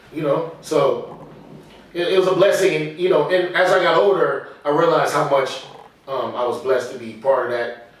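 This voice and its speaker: A man with an American accent and a fairly high pitch talks at a moderate pace with ordinary pitch variation, amid audible room echo and noticeable background noise. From Texas, Houston. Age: 50s. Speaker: jazz musician. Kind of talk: casual interview.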